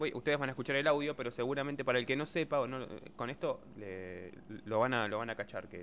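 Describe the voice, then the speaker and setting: Here a man speaks with a Buenos Aires accent. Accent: Argentine Spanish (Buenos Aires area). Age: 30s. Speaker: radio co-host and technical operator. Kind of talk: casual radio chat.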